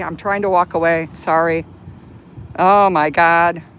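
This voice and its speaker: With monotone, flat intonation, a woman talks in a fairly low voice. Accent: American. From Chicago, US Midwest. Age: 60s. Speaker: live streamer. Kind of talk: live stream commentary. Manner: flustered, agitated.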